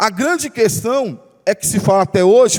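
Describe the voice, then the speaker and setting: A man talks at a fairly slow pace, and noticeable background noise is present. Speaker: pastor. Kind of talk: bible study sermon.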